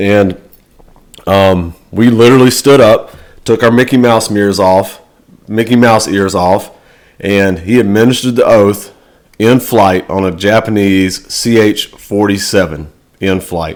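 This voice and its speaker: A man with an American accent, fairly low in pitch, fairly slow and fairly even in intonation. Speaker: navy sailor and motivational vlogger. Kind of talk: motivational talk. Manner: loud.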